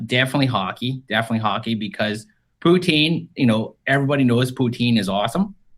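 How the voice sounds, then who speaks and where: An ordinary speaking voice from a man, medium in pitch, fairly quick, with lively intonation. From Canada. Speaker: tabletop game designer. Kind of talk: podcast interview.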